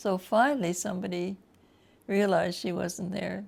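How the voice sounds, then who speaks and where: A woman with a Canadian Prairie accent, talking at a moderate pace. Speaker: retirement home resident. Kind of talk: life story interview.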